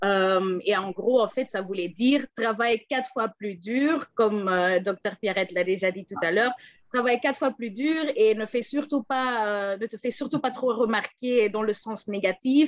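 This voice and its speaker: With a Flemish accent, a woman talks at a fairly slow pace with a fairly high pitch, ordinary pitch variation, big swings in loudness and hardly any pauses against a quiet background. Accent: Dutch-speaking (Flemish) accent in French. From Belgium, Antwerp (Flemish). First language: Dutch (speaking French). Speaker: political advisor and former journalist. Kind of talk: panel talk. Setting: video call.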